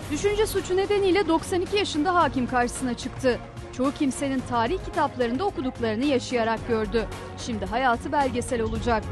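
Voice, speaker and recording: Over music in the background, a woman with a high voice talks at a fairly quick pace, her pitch swinging very widely. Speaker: news reporter. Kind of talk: TV news narration.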